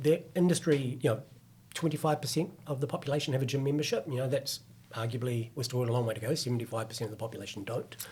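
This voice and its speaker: Somewhat breathy and very fast, a man with a New Zealand accent speaks at a medium pitch with ordinary pitch variation. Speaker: fitness company executive. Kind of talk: podcast interview.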